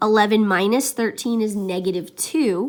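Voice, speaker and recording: A woman speaks in a plain, everyday voice with a fairly high pitch. Her pace is moderate and her pitch variation ordinary. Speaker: math teacher. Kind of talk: tutorial.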